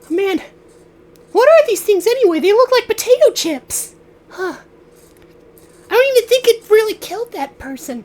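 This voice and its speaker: In a squeaky, put-on character voice pitched extremely high for a man, a man speaks at a moderate pace with long, frequent pauses. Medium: actual play.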